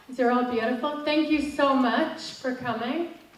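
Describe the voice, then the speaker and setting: With an American accent, a woman speaks at a high pitch with fairly even intonation, with audible room echo and noticeable background noise. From Northern Ireland, Derry. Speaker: motivational coach. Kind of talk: motivational talk.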